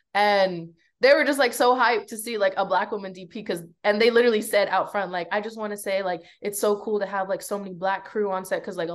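Against a quiet background, a woman with a medium pitch speaks very fast in an animated tone, her loudness swinging widely while her pitch varies in an ordinary way. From Belize. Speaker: cinematographer. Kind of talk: casual chat.

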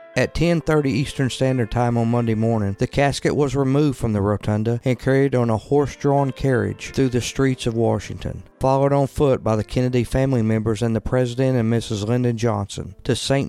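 Over music in the background, a man at medium pitch talks at a fairly quick pace with hardly any pauses, very even loudness and fairly even intonation. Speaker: podcast host. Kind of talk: scripted narration of history. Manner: measured, formal.

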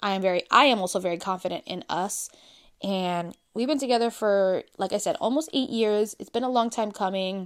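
Here a woman with a plain, everyday voice talks at a fairly quick pace and ordinary pitch variation. The recording is very clean, with a silent background. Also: medium pitch for a woman. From Brooklyn, New York. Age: 30s. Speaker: podcast host. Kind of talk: casual solo chat.

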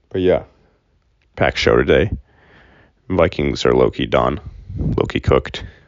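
Speaking quietly with an American accent, a man uses a very deep, low pitch, vocal fry and lively intonation at a moderate pace, with long, frequent pauses. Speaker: sports podcast host. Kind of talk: casual solo sports talk. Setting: recording at home. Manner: quiet, low-key voice; casual with many fillers.

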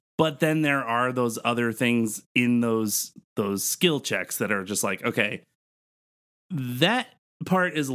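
Medium-pitched male voice, an unremarkable speaking voice, its pitch varying in an ordinary way. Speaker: podcast co-host. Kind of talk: casual chat about D&D, with a mock street-vendor pitch. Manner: playful, sing-song hawker call, repeating 'step right up'; laughs often, filler-heavy.

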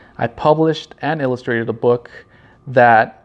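Speaking in a Southern Californian accent, a man keeps his intonation fairly even. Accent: Southern California American. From Los Angeles County, California. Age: 30s. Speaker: podcast host, marketing creative. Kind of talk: solo podcast intro, casual monologue. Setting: home, video recording in a high-rise condo. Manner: somewhat nervous.

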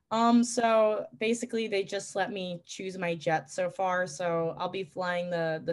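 A woman with a New York accent speaks at a very slow pace. The background is quiet. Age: 20s. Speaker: pilot and flight instructor. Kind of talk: casual chat.

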